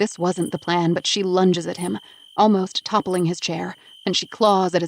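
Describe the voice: The voice is plain reading aloud with fairly even intonation.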